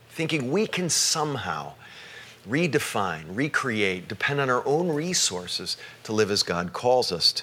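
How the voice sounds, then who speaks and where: With background noise clearly present, this man's pitch leaps up and down very widely. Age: 50s. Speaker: pastor. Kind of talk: sermon. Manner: halting.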